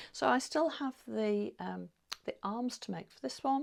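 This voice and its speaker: In an English accent, a woman speaks at a fairly slow pace. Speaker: sewing vlogger. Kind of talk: casual chat. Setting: home sewing room. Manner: halting.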